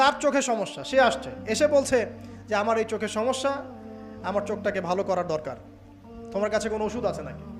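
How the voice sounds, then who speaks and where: Over music in the background, a man with a high pitch talks with lively intonation. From Bangladesh. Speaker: Islamic preacher. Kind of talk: religious sermon.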